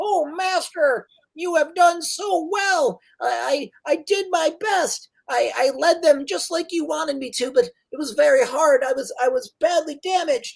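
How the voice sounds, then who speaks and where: In a put-on, squeaky character voice, the speaker uses a high pitch at a moderate pace. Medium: actual play. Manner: halting, stammering.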